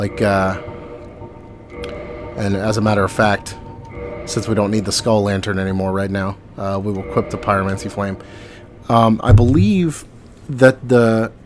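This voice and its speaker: Over noticeable background noise, a man with a fairly low pitch speaks at a moderate pace with fairly even intonation. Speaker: gaming video creator. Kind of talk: let's play commentary. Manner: halting, tripping over words.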